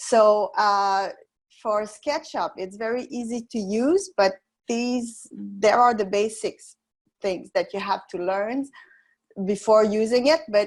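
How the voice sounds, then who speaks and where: A woman speaks with a French accent. Her pitch is fairly high, with ordinary variation. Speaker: software instructor. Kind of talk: webinar tutorial. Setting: online webinar. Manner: halting, many fillers.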